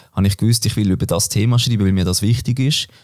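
A man talks at a fairly low pitch with ordinary pitch variation. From Switzerland, Basel-Land. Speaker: former cyclist and business student. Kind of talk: interview. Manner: hesitant, many fillers.

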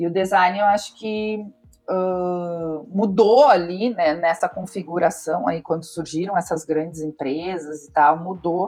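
At a fairly low pitch and a fairly slow pace, a woman with an unremarkable speaking voice talks with ordinary pitch variation. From southern Brazil, Pelotas (Rio Grande do Sul). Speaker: design studio director. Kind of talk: interview. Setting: studio.

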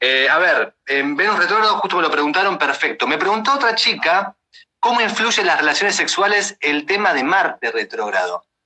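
In a Rioplatense accent, a man with a high pitch uses a raised, projected voice and lively intonation. He keeps a moderate pace and very even loudness. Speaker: podcast host. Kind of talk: casual chat.

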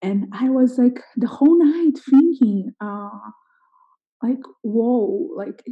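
With a Portuguese accent, a woman speaks at a very slow pace. Her tone is dark and mellow, and her pitch swings very widely. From Brazil, Sao Paulo. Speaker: missionary. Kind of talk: casual interview.

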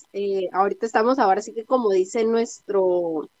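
A woman with an unremarkable speaking voice talks at a moderate pace with ordinary pitch variation, in a dry, close sound with no echo. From Tijuana, Mexico. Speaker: podcast host. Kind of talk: casual chat. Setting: remote recording.

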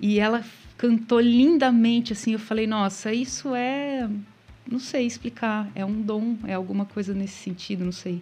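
Her voice is fairly high-pitched yet dark and mellow in tone, and somewhat breathy. This woman speaks at a fairly slow pace with fairly even intonation. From Paraná, Brazil (small town of 5,000). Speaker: singer-songwriter. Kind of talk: live radio interview. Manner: calm, soothing.

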